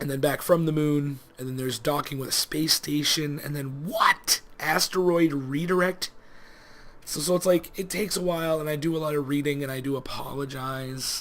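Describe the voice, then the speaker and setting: Over noticeable background noise, a man with a fairly high voice talks at a moderate pace with fairly even intonation. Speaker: let's play gaming youtuber. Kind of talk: casual gameplay commentary. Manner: mumbling.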